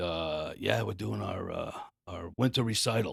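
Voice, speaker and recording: Vocal fry marks a man's fairly slow speech, the sound dry and close with no echo in a very clean recording with a silent background. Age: 60s. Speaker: audio designer. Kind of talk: interview. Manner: hesitant, filler-heavy.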